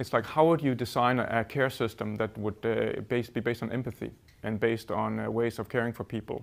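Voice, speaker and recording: Showing vocal fry, a man speaks very fast at a medium pitch. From Denmark. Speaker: design centre CEO; speaker. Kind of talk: presentation. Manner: halting. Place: hall. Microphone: lapel.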